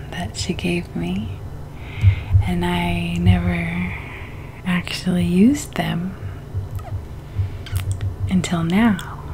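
Soft-spoken and very slow, a woman talks with long, frequent pauses amid noticeable background noise. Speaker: ASMR creator. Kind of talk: ASMR video. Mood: relaxed, smiling. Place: home room. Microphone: studio mic.

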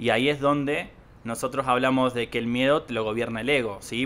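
Fairly even intonation from a man, the pace moderate. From Argentina. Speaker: podcast co-host. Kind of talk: casual conversational podcast. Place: home room. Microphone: handheld.

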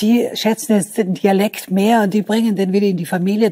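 A woman speaks in a dark, mellow tone. Her voice is somewhat breathy. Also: quiet background. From Vorarlberg, Austria. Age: 70s. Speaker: writer. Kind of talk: talk show interview answer. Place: studio. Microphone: lapel.

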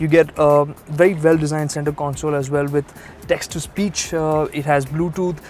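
Over music in the background, a man speaks at a moderate pace in a monotone, flat intonation, with a dry sound and no echo. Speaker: TV presenter. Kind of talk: car review presentation. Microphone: lapel.

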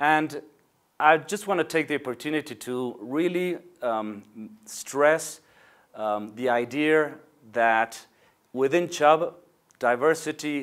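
A man with a Spanish accent, ordinary pitch variation, a very slow pace and long, frequent pauses against a quiet background. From Argentina, Buenos Aires. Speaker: insurance executive. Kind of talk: corporate video address. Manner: hesitant, with fillers. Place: office. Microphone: lapel.

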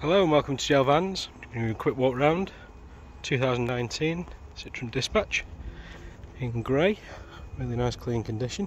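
The pace is fairly slow, with long, frequent pauses. The sound is dry with no echo over light background noise. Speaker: van dealer salesperson. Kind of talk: sales pitch. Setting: outdoors on forecourt, walk-round video. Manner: upbeat, promotional, confident. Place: street. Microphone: phone near.

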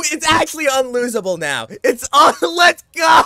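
An animated tone at a moderate pace with music in the background. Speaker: gaming YouTuber. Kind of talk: gameplay commentary.

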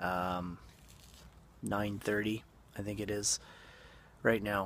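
A man talks in a plain, everyday voice with a fairly low pitch. The sound is dry with no echo. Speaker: vlogger. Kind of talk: casual vlog chat.

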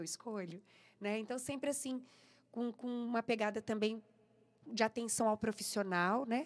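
A woman with an ordinary speaking voice, fairly high in pitch, at a moderate pace and with fairly even intonation. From interior of São Paulo state, Brazil. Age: 40s. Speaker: singer; interviewee. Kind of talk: radio interview. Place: studio. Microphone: studio mic.

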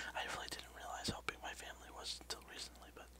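Over light background noise, a man whispers quietly in a calm tone. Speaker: vlogger, ASMR channel host. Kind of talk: casual vlog chat. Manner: hushed whisper, calm and slow. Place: home room. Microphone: headset.

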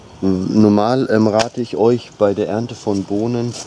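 Against light background noise, a man speaks at a fairly low pitch with fairly even intonation. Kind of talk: casual tutorial vlog. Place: garden.

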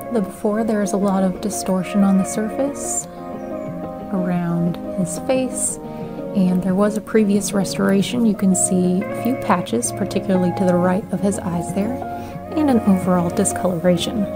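Clear music fills the background. The talking proceeds at a moderate pace. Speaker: amateur painting restorer. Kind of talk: tutorial voice-over narration. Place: home room.

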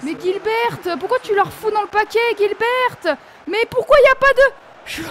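A woman speaks at an extremely high pitch with lively intonation and a very slow pace. There is noticeable background noise. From France, Nancy (Lorraine). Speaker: gaming youtuber. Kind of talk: gameplay commentary. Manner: animated.

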